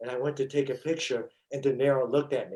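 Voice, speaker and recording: At a moderate pace, a man with a New York accent speaks in a fairly high pitch. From New York (Brooklyn). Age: 60s. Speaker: stuntman and actor. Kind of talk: interview storytelling. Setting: podcast.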